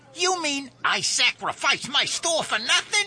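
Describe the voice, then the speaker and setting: High and fairly slow, the speech comes in a put-on character voice. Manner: loud, raised, angry.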